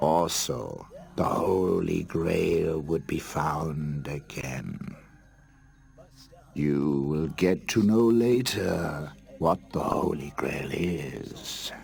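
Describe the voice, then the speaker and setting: Over music in the background, a man uses a cartoonish character voice with a very deep, low pitch at a very slow pace. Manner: wry, self-satisfied.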